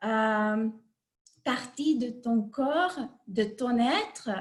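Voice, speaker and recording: A woman with a Hungarian accent talks with ordinary pitch variation. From Hungary. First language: Hungarian (speaking French). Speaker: life coach. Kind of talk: online talk. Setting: video call. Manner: halting.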